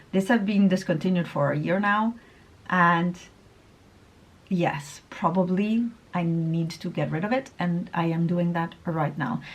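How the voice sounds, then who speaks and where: A woman talks at a fairly slow pace, her voice somewhat breathy. Her pitch varies in an ordinary way, with long, frequent pauses. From Italy. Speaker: beauty vlogger. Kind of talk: casual vlog talk. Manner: stumbling over words.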